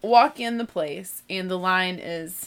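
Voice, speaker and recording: An animated woman with a slight Southern US accent on a very clean recording with a silent background. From US South (born in Texas). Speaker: podcast host, homeschooling mom. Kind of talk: casual monologue.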